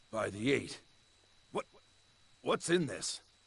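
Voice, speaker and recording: The put-on character voice comes out raspy. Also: man, fairly high pitch for a man. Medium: video game. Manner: authoritative, brusque.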